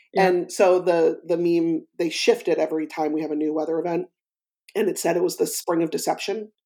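A woman's fairly low, dark and mellow voice, fairly even in intonation, at a fairly quick pace. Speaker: podcast co-host and coach. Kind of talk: casual chat.

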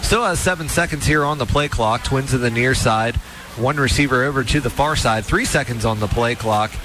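A man talks at a medium pitch and a moderate pace. His pitch varies in an ordinary way, and noticeable background noise is present. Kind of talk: live commentary.

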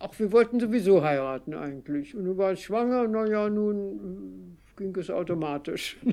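The tone is dark and mellow, the pace fairly slow, the intonation lively, and there are hardly any pauses. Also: woman, medium pitch for a woman. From Berlin, Germany. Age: 80s+. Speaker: contemporary witness recounting her life. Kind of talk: personal storytelling interview. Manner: hesitant with fillers.

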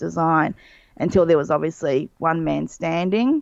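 A woman speaks with an Australian accent. Her pitch sits fairly low, over a quiet background. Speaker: illustrator. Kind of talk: casual chat.

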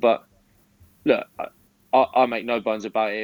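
Speaking with a southern English accent, a man talks at a moderate pace with a fairly low pitch.

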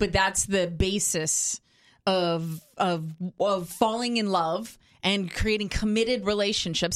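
In a very clean recording with a silent background, a woman uses an ordinary speaking voice at a medium pitch. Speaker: doctor co-host. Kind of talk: casual chat. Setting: studio.

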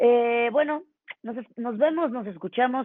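A woman has an ordinary speaking voice at a fairly high pitch. She talks at a moderate pace. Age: 40s. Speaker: podcast co-host. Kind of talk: casual chat.

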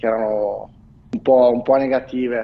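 Fairly quick speech from a man, medium in pitch for a male, against noticeable background noise. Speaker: football fan commentator. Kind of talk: casual chat. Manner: measured, balanced.

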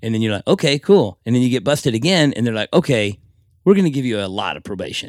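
In a very clean recording with a silent background, a man with an American accent and medium pitch talks very fast, his pitch swinging very widely, the sound dry and close with no echo. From Texas, Fort Worth. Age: 40s. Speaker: tattoo artist. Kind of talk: casual interview. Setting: tattoo shop.

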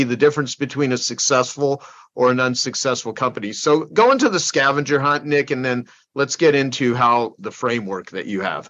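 The delivery is at a moderate pace with fairly even intonation. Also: man. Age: 50s. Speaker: podcast host and business network organizer. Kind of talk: hosted group interview. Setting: video call.

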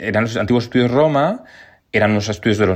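Very fast speech comes from a man with a fairly low pitch. His pitch varies in an ordinary way. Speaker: television journalist. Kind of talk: interview.

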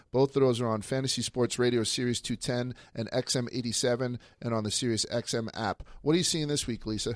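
A man speaks at a medium pitch and a fairly quick pace. He has an unremarkable speaking voice with fairly even intonation. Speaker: radio host. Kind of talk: casual banter. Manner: profane, joking.

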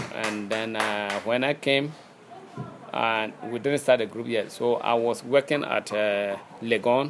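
A man with a Ghanaian accent speaks at a fairly slow pace and a medium pitch. His intonation is fairly even, with noticeable background noise behind him. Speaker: master musician, xylophone player. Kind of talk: interview. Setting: outdoors, background noise. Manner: halting.

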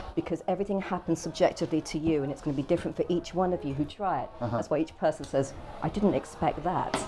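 Noticeable background noise sits behind a woman with a very deep, low voice. She speaks very fast with ordinary pitch variation. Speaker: artist. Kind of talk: interview.

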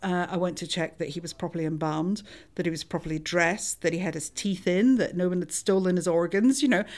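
With a Scottish accent, a woman speaks at a fairly low pitch with ordinary pitch variation. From Scotland. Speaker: forensic anthropologist. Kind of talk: interview.

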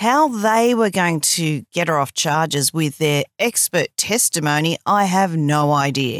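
A woman with an Australian accent talks at a very slow pace, her pitch fairly low. Her intonation is lively, and the sound is dry and close with no echo. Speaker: journalist podcast host. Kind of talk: reading aloud.

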